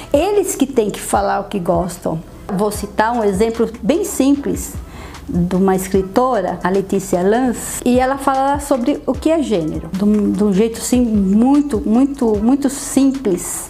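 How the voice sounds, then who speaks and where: Music plays behind a woman whose fairly high-pitched voice, lively in intonation, moves at a fairly slow pace amid audible room echo. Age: 50s. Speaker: photographer and writer. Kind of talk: interview testimony. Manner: halting, frequent fillers.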